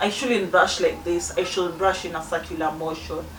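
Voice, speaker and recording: A woman's lively intonation, with audible room echo and noticeable background noise. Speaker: beauty vlogger. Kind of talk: casual vlog talk to camera. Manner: halting, many restarts.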